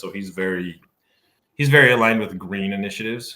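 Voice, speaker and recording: The tone is bright and sharp, with an American accent. The pace is fairly quick, and the pitch varies in an ordinary way. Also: man. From Idaho, US. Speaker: former missionary. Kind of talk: casual chat.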